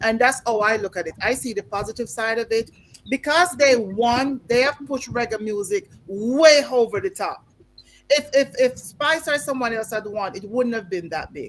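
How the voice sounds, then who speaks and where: A woman speaks with a Jamaican accent at a moderate pace. Her pitch is fairly high and her intonation is lively. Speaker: talk show co-host. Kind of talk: panel discussion.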